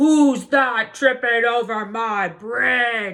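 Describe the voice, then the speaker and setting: In a put-on character voice, the speaker talks at a very slow pace with a fairly high pitch. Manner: roaring.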